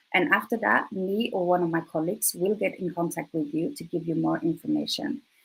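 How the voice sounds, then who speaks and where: Her fairly low voice is somewhat breathy, and this woman moves at a fairly quick pace with hardly any pauses and very wide pitch swings. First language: Swedish. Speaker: recruiter. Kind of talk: presentation. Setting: live online presentation.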